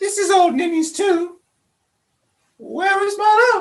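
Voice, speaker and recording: Putting on a character voice, a woman speaks in an extremely high, squeaky pitch. Her pace is fairly slow and her intonation fairly even. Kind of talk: amateur melodramatic stage acting. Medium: stage play. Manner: earnest, halting.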